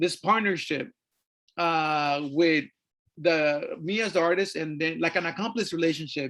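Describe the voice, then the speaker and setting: A man's high-pitched voice with a Spanish accent, moderate pace and ordinary pitch variation, against a quiet background. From Mexico. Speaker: artist and activist. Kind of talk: artist talk presentation. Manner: halting, many fillers.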